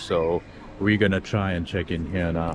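A man speaks at a moderate pace with fairly even intonation. The sound is dry with no echo, though background noise is noticeable. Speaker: travel vlogger. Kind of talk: casual vlog chat. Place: station. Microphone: phone near.

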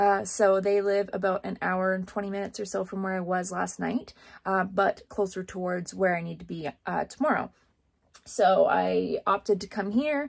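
A woman at a moderate pace, with ordinary pitch variation and a quiet background. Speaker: rodeo barrel racer vlogger. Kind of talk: casual vlog chat. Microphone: phone near.

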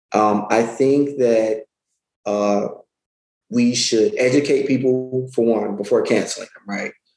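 A man speaks at a fairly slow pace, his medium pitch showing ordinary variation. Room echo is audible. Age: 30s. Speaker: self-published author; guest. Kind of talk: interview conversation. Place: home room. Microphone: webcam.

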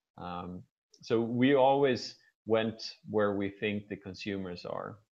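In an unremarkable speaking voice, a man talks fairly slowly at a fairly low pitch. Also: quiet background. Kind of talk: guest lecture talk. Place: office. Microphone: video call.

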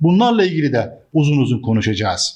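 The man talks at a moderate pace in a fairly high voice. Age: 60s. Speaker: businessman. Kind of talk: monologue to camera. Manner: frequent hesitations.

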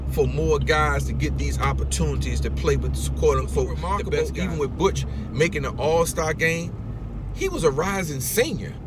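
A man at a moderate pace, with music in the background and a dry sound with no echo. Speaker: youth basketball coach. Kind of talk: interview answer, storytelling. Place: car. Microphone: phone near.

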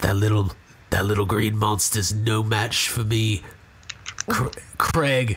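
A man speaks in a put-on character voice that is raspy and fairly low, with fairly even intonation. The pace is very slow, with long, frequent pauses and clear background noise. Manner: boastful, scheming.

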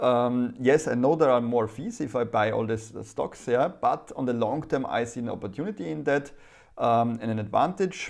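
Ordinary pitch variation with a German accent over a quiet background. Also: man, moderate pace. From Germany. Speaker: private investor YouTuber. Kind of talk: casual vlog monologue. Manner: halting. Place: home room. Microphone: lapel.

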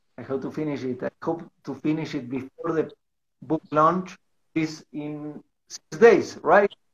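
A man with a Spanish accent talks at a fairly slow pace and a fairly high pitch. His intonation stays fairly even against a quiet background. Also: long, frequent pauses. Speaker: livestream host and interviewer; livestream host, interviewer. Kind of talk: livestream interview. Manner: halting in English. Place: home room. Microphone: video call.

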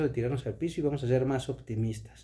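Here a man speaks in a dark, mellow tone that is somewhat breathy. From Mexico. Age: 30s. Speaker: vlogger. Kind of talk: casual vlog monologue. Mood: earnest, motivational. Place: home room. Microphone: phone near.

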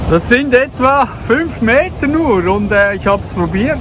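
At a very slow pace, a man speaks with noticeable background noise behind him. The sound is dry with no echo. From Switzerland, Zurich; Switzerland. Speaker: travel vlogger. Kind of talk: travel vlog narration. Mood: cheerful.

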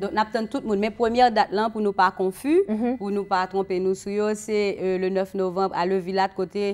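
At a moderate pace and with hardly any pauses, a woman speaks with fairly even intonation. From Haiti. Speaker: singer; guest. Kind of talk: casual chat. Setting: studio. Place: studio.

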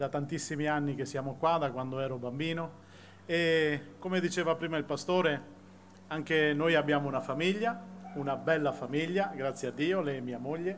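Over noticeable background noise, a man with a Sicilian accent talks at a moderate pace and a fairly high pitch, with ordinary pitch variation. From Sicily, moved to Veneto as a child; Sicily, Italy. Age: 40s. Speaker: church member giving testimony. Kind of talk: testimony. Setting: outdoor public square concert with audience. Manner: halting. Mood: earnest, emotional. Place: stage. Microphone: podium.

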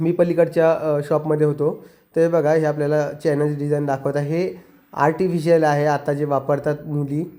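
Speaking with monotone, flat intonation, a man uses a fairly high pitch and a dark, mellow tone. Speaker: family vlogger. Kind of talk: vlog narration.

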